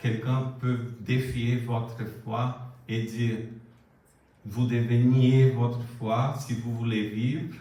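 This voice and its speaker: With a Brazilian accent, a man talks at a medium pitch and a very slow pace in a monotone, flat intonation. Noticeable background noise and audible room echo can be heard. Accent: non-native French accent, Brazilian. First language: Portuguese (speaking French). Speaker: preacher. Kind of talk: sermon. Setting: church.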